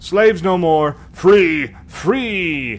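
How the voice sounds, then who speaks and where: A man puts on a character voice, pitched high. Light noise sits in the background. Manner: triumphant shouting.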